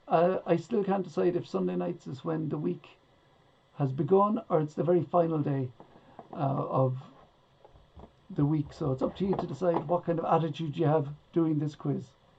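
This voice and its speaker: A woman with an Irish accent, a very deep, low pitch and ordinary pitch variation, at a moderate pace with long, frequent pauses. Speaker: online quiz host. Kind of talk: live-streamed quiz hosting. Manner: casual, chatty.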